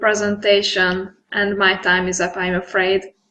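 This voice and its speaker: A woman speaks with a Hungarian accent. Her tone is bright and sharp. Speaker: data visualization expert. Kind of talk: conference presentation and Q&A. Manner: halting.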